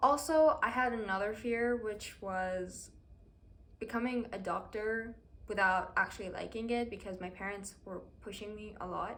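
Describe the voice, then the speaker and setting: The voice moves at a moderate pace with ordinary pitch variation. Its loudness swings widely, and the room echo is audible. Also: woman, fairly high pitch for a woman. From Iran. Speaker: university student vlogger. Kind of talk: casual personal vlog talk. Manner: hesitant, with fillers.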